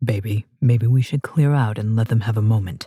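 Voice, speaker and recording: Putting on a character voice, a man speaks at medium pitch and a moderate pace in a calm tone, with very even loudness and a dry, close sound with no echo. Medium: read story. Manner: calm, authoritative.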